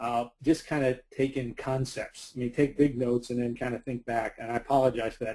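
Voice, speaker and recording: A man talks at a fairly quick pace with monotone, flat intonation. His medium-pitched voice has a dark, mellow tone. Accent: New York. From US Northeast, New York City (Bronx). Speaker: recruiting expert presenting a webinar. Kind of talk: webinar presentation. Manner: fast.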